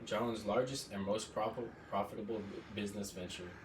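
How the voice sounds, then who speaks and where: The intonation is monotone and flat. Noticeable background noise sits behind the speech. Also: man. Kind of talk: informative class speech. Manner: formal, prepared.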